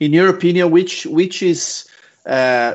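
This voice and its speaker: A man with a Brazilian accent, at a fairly slow pace, with ordinary pitch variation. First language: Portuguese. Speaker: podcast host. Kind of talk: interview. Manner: halting.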